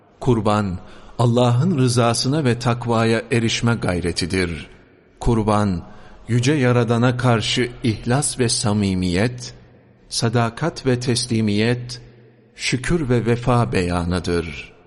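At a very slow pace, a man speaks at medium pitch with ordinary pitch variation and very even loudness. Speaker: religious sermon reader. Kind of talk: mosque sermon (khutbah) reading. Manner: formal, measured sermon delivery.

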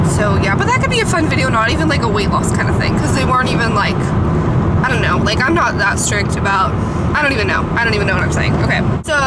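A woman at a very fast pace, against loud background noise. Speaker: vlogger. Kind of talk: casual vlog chat. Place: car. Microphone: phone near.

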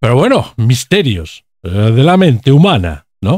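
Recorded dry and close with no echo and a silent background, the very clean track has a man whose pitch swings very widely. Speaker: video commentator. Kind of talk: political commentary video, scripted-style monologue. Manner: indignant, sarcastic, politically charged; halting with frequent fillers.

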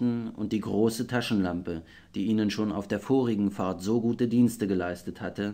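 A passage is being read aloud. It comes in a natural voice.

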